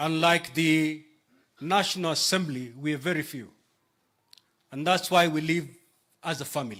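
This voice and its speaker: Pausing long and often, a man speaks at a moderate pace in a fairly high, bright, sharp voice with ordinary pitch variation. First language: Kenyan local language (not Kikuyu). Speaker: politician (senator). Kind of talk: funeral condolence speech. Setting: burial ceremony with audience.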